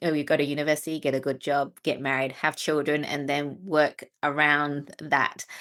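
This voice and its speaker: A woman with a very deep, low voice speaks with hardly any pauses. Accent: Australian. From Australia. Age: 40s. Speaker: trading mentor and author. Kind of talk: interview. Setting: video call.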